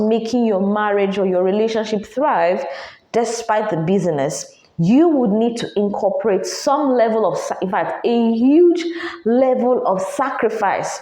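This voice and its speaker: A woman's fairly high voice, animated in tone and at a fairly slow pace, with audible room echo and noticeable background noise. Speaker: podcast host. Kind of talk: advice monologue.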